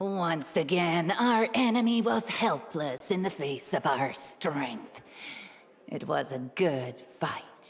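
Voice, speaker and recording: A woman's put-on character voice, fairly low in pitch, at a very slow pace. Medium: video game. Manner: relishing, cold.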